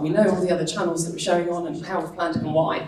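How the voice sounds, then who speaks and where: An animated woman speaks over noticeable background noise and audible room echo. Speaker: digital marketing speaker. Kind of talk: conference talk. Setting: stage with audience.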